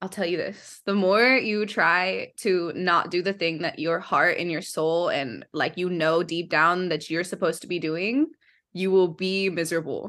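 A woman talks in a normal speaking voice at a fairly low pitch. Her pitch variation is ordinary and her pace moderate. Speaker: singer-songwriter. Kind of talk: casual interview chat.

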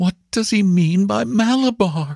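Using a put-on character voice, a man speaks at a fairly slow pace in a high pitch with a slightly mellow tone, vocal fry and lively intonation, in a dry, close sound with no echo.

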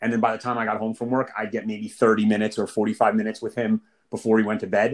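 At a fairly quick pace, a man with a medium pitch speaks in an ordinary speaking voice with fairly even intonation. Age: 30s. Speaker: fitness client, challenge champion. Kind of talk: rapid-fire interview.

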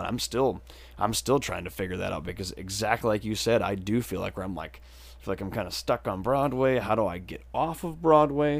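This man talks at a fairly quick pace with an American accent. His voice has vocal fry and ordinary pitch variation. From southwestern Wisconsin. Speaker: musician. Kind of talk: casual chat.

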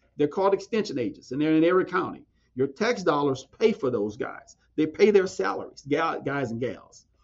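A man with an American accent talks at a moderate pace and a fairly high pitch, with vocal fry. His pitch swings very widely. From southwest Louisiana and Texas. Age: 40s. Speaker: agriculture educator. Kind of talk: interview.

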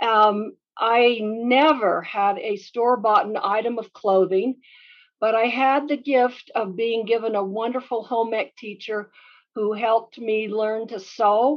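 In an ordinary speaking voice, a woman with an American accent talks at a fairly slow pace, her fairly high pitch held in fairly even intonation. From Utah, US. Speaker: business consultant. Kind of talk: interview.

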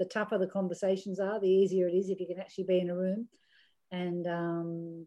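In an Australian accent, the speaker talks at a fairly quick pace with a dark, mellow tone and monotone, flat intonation, against a quiet background. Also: woman. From Australia, rural New South Wales–Victoria border. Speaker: businesswoman and board chair. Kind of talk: interview.

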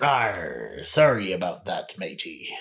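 Putting on a character voice, a man sounds raspy, speaking at a fairly slow pace in a medium pitch. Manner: zealous, gruff.

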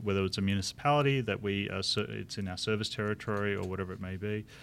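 With an Australian accent, a man talks at a very fast pace. His voice is fairly low. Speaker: chief information officer. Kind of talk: live interview.

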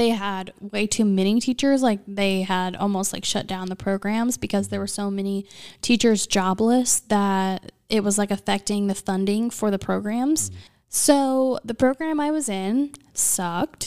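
In an ordinary speaking voice, a woman with an American accent speaks at medium pitch with ordinary pitch variation on a very clean recording with a silent background. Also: fairly slow pace. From US Midwest, small town Illinois. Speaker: podcast host. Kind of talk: casual chat.

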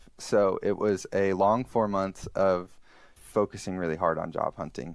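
In an American accent, a man with a fairly low pitch and fairly even intonation uses an ordinary speaking voice on a very clean recording with a silent background. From Alabama, US South. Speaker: software developer, former minister. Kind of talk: interview.

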